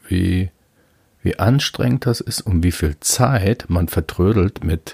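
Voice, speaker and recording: A man speaks very slowly in a very deep, low pitch, with a dark, mellow tone. His voice is somewhat breathy, with ordinary pitch variation. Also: dry, close sound with no echo. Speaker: podcaster. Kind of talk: solo monologue. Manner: casual, with many fillers.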